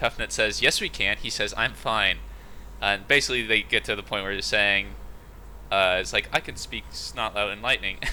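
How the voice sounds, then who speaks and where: A man talks at a moderate pace. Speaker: podcast co-host. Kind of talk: casual chat. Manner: halting.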